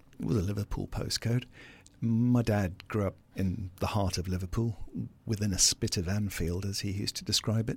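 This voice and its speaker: At a moderate pace, a somewhat breathy man speaks in a very clean recording with a silent background. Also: fairly low pitch for a man, fairly even intonation. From South Africa. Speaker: business founder. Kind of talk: interview. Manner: confident, passionate.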